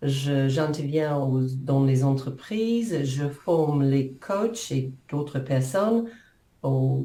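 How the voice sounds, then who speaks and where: Somewhat breathy, a woman with a New Zealand accent speaks in a very deep, low pitch and a dark, mellow tone, her intonation lively. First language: English (speaking French). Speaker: coach and author. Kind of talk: interview. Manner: halting.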